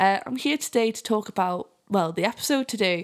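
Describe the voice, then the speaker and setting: With a fairly high pitch and lively intonation, a woman talks at a moderate pace. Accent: Geordie. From northern England, Newcastle area. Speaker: music podcast host and journalist. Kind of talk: casual chat; sponsor read.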